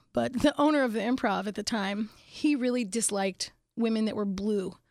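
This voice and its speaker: Over a silent background on a very clean recording, a woman with an American accent speaks fairly quickly at a fairly high pitch in an ordinary speaking voice, with ordinary pitch variation. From Pittsburgh, Pennsylvania and Phoenix, Arizona. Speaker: comedian. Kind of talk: casual interview.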